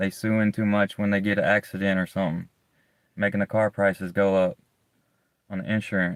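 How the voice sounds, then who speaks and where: A man speaks in a monotone, flat delivery with a Southern US accent. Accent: southern US, strong S's. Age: 30s. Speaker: live streamer. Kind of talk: casual chat. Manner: halting, repetitive.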